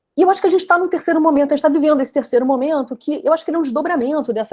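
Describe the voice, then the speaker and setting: A woman talking at a very fast pace. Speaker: professor. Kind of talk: academic lecture. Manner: hesitant, many fillers.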